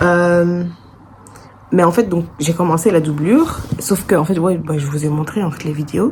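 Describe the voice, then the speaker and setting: Her pitch fairly low and her intonation fairly even, a woman talks at a fairly slow pace over noticeable background noise. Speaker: vlogger and bag maker. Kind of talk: casual vlog. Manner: hesitant, many fillers.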